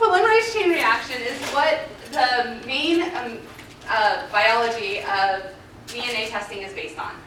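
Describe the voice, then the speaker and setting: Clear background noise runs throughout. The delivery is rather slow, and the room's echo is easy to hear. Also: woman, high pitch for a woman, lively intonation. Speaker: forensic scientist. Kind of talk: conference presentation. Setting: stage with audience. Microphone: muffled if too close to the mic.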